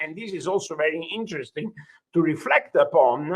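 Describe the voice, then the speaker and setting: Speaking with an Italian accent, the man has a high pitch, a bright, sharp tone and ordinary pitch variation. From Italy. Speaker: judge. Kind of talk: lecture. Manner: halting, many fillers.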